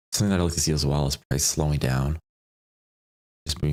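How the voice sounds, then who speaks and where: Soft-spoken, a man talks with a very deep, low pitch and vocal fry. His intonation is fairly even. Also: dry, close sound with no echo. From Poland. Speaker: day trader streaming live. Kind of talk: live trading commentary. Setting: home live stream.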